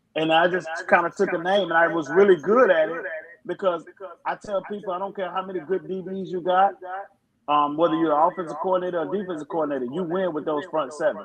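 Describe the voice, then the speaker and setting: A man talks loudly at a very fast pace, his high-pitched voice keeping a fairly even intonation. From Alabama. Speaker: football head coach. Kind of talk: podcast interview.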